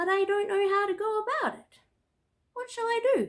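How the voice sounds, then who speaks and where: Put-on character voice, squeaky and extremely high-pitched, at a moderate pace. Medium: read story.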